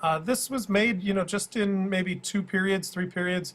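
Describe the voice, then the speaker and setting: A man with a high-pitched voice. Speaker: schoolteacher. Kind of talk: tutorial. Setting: screen recording. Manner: fast; hesitant with many fillers.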